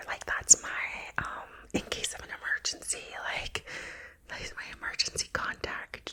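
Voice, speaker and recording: There is noticeable background noise. Under it, a woman whispers at a moderate pace. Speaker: ASMR creator. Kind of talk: ASMR reaction talk to camera. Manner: whispered.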